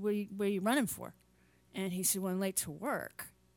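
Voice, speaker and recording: At a fairly quick pace, a woman talks in a normal speaking voice with a medium pitch. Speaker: podcast host. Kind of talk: casual chat. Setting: video call.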